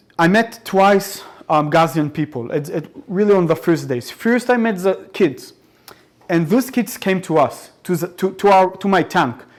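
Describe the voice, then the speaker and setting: With an Arabic accent, a man talks fairly slowly in a high voice with lively intonation. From Israel. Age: 20s. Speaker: soldier speaking about war experience. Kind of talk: public talk to audience. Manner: halting with many repetitions.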